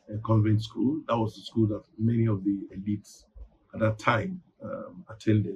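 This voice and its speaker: This man has a Nigerian accent and a medium, somewhat breathy voice. He talks at a moderate pace with ordinary pitch variation. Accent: Nigerian (Yoruba) English. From Nigeria, Ibadan (southwest Yoruba region). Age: 60s. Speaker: newspaper publisher. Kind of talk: interview. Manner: hesitant, many fillers.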